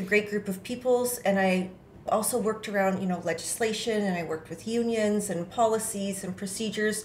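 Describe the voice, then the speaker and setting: Amid audible room echo, a woman with a Canadian accent speaks at a medium pitch and moderate pace, somewhat breathy, with fairly even intonation. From Ontario, Canada (Kingston). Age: 40s. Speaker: municipal election candidate. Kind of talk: interview.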